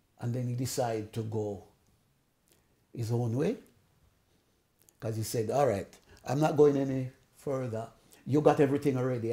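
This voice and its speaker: A man with a medium pitch and a dark, mellow, somewhat breathy tone speaks at a fairly quick pace with fairly even intonation, leaving long, frequent pauses. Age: 80s+. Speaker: sound system owner. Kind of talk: interview answer.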